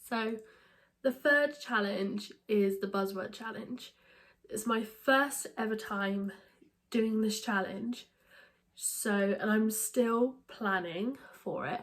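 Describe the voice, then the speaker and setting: A woman speaks in a British accent at a fairly high pitch with ordinary pitch variation. Her pauses are long and frequent. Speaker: book vlogger. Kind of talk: casual vlog talk. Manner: hesitant, many fillers.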